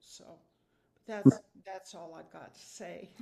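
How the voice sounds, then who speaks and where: Her voice has a dark, mellow tone and vocal fry, and the woman speaks at a fairly slow pace with fairly even intonation. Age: 80s+. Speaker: mother of the deceased, sharing a memory. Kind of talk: memorial tribute. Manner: halting.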